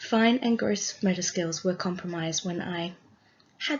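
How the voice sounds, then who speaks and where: A woman's medium-pitched, somewhat breathy voice. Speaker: student teacher. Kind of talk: class presentation. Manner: scripted, read from notes.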